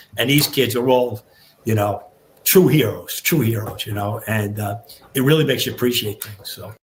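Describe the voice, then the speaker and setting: With a New York accent, a man speaks at a medium pitch and a moderate pace. His voice is somewhat breathy, with big swings in loudness. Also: ordinary pitch variation. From New York, Long Island. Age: 60s. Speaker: retired fire captain. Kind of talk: podcast interview. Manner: halting, many repeated words.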